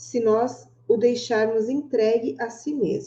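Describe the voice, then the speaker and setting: At a very slow pace, a woman speaks in a somewhat breathy, fairly high voice. Her tone is dark and mellow, with ordinary pitch variation. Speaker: book club host. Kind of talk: reading aloud; casual chat.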